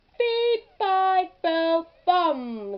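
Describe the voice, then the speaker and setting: In a put-on character voice, a woman pitches her speech extremely high. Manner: loud.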